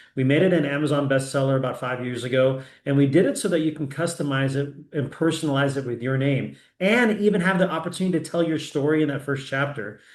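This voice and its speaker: Audible room echo surrounds a man talking at a very fast pace. His pitch is fairly high, with ordinary pitch variation. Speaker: founder and president of annuity agent network, sales trainer. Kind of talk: live sales training webinar. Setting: live online session with screen share. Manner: frequent fillers and restarts.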